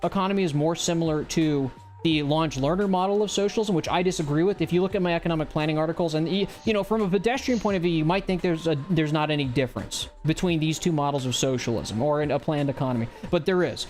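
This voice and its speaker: Over music in the background, a man with an American accent and a high pitch talks at a very fast pace with hardly any pauses, very even loudness and ordinary pitch variation. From US South. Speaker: livestream host. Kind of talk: casual political commentary livestream. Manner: animated.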